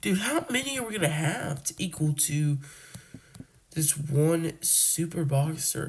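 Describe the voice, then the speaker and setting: Noticeable background noise beneath fairly slow talk. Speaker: gaming youtuber. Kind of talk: gameplay commentary. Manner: animated.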